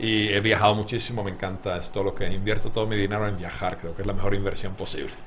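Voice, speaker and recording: Very fast speech in a Finnish accent comes with monotone, flat intonation and hardly any pauses. Noticeable background noise and audible room echo fill the recording. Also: man, fairly low pitch for a man. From Finland. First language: Finnish (speaking Spanish). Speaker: game designer. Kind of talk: interview.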